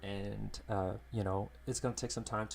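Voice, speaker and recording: A man's fairly low voice with very wide pitch swings. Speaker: digital painter, art streamer. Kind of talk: live-stream painting tutorial. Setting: live stream from home studio. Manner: halting, many fillers.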